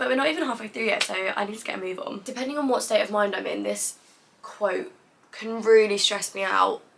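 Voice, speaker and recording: A woman talking at a fairly quick pace over noticeable background noise. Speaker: content creator. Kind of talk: vlog monologue.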